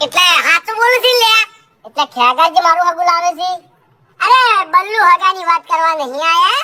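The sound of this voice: The voice is a cartoonish character voice pitched extremely high. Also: moderate pace.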